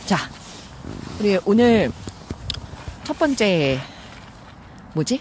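Leaving long, frequent pauses, a woman speaks at a very slow pace with a medium pitch and very wide pitch swings. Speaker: voice actor. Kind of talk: casual conversation, book talk show.

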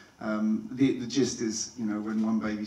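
Light background noise and audible room echo surround a man speaking at a fairly low pitch. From not Irish. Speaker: film director; guest. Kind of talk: Q&A panel talk with slides. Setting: stage with audience. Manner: halting, with many fillers. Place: hall. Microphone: handheld.

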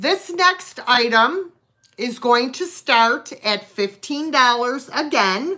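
A woman with a high, bright, sharp voice speaks very slowly with lively intonation over a quiet background. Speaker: live sale host. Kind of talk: live online sale with auctioneer-style bidding. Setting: live stream video. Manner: chatty, friendly. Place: home room. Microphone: phone near.

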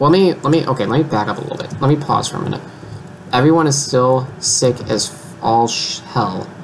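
A man with ordinary pitch variation talks fairly quickly as light background noise sits underneath. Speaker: gamer. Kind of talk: casual gameplay commentary. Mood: overwhelmed, mildly amused. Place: home room.

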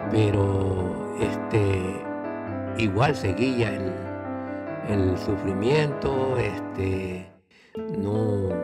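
Over loud music in the background, a man speaks at a very slow pace. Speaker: grandfather telling life story. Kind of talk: personal life story told to camera. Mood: calm, reminiscing. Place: studio. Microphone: studio mic.

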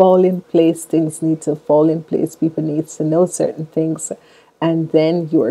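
With monotone, flat intonation, a woman speaks at a very deep, low pitch in a dark, mellow tone. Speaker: tarot reader. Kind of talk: tarot reading monologue. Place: home room. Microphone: earbuds.

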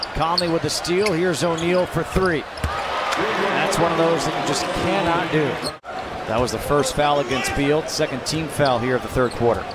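Noticeable background noise fills the clip as the talking proceeds at a moderate pace. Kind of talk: live sports play-by-play commentary.

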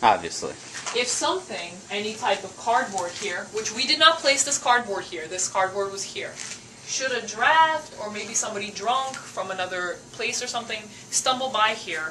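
A woman talks at a moderate pace with big swings in loudness over light background noise. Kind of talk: casual explanation on tour. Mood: alarmed, joking. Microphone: camera far.

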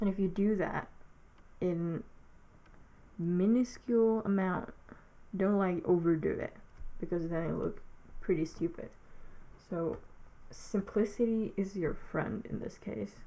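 Pausing long and often, a woman speaks at a fairly slow pace in a dark, mellow tone with ordinary pitch variation. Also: medium pitch for a woman. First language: not English. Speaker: digital artist making a tutorial. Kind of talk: narrated tutorial. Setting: alone at home, voiceover recording. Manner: halting, hesitant, with filler words.

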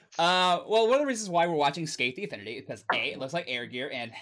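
Talking at a very fast pace, a man with a bright, sharp tone uses lively intonation. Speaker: reaction stream host. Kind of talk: casual reaction intro chat. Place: home room.

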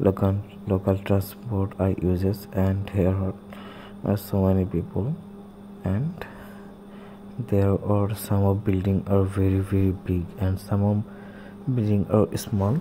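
A man with a fairly low pitch talks very slowly in a monotone, flat delivery with very even loudness. He leaves long, frequent pauses over noticeable background noise. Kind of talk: casual vlog commentary. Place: bus. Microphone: phone near.

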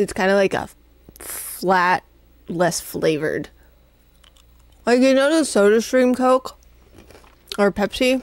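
Speaking at a very slow pace with long, frequent pauses, a woman keeps her loudness very even. Her pitch is fairly high and her intonation lively. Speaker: streamer. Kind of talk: casual chat. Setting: live stream.

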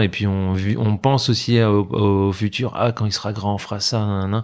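A man speaks in a normal speaking voice, fairly low in pitch with fairly even intonation. The recording is very clean, with a silent background. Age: 30s. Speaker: para-badminton athlete. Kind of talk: interview.

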